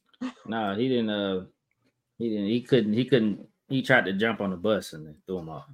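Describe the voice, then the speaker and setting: A man with a normal speaking voice, fairly low in pitch, talks at a moderate pace with ordinary pitch variation and big swings in loudness. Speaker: podcast co-host. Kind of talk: casual chat.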